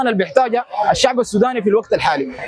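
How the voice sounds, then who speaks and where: With crowd noise in the background, a man in a Sudanese accent speaks at a fairly quick pace and an extremely high pitch. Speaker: street interviewee. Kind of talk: street interview opinion. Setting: outdoors, street. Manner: halting.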